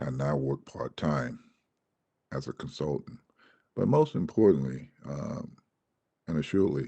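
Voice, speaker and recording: A man with a very deep, low, dark and mellow voice and vocal fry speaks fairly slowly with lively intonation and long, frequent pauses. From Georgia, US South. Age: 60s. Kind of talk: testimony. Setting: Senate committee hearing. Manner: halting, many fillers and repeats.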